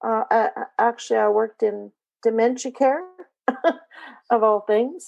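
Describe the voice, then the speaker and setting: A woman with a Canadian accent speaks at a fairly slow pace. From rural Canada. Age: 60s. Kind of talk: interview testimony. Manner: halting, many fillers.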